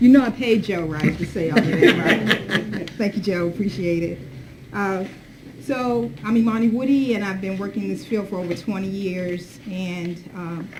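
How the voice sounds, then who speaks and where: Over noticeable background noise and audible room echo, a woman of medium pitch speaks at a moderate pace with ordinary pitch variation and big swings in loudness. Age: 60s. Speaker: diversity consultant and advocate. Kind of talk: workshop presentation.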